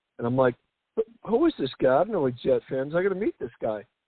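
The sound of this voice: A man with an American accent talks fast at medium pitch, making big pitch swings, with a slightly husky edge in a dry, close sound with no echo.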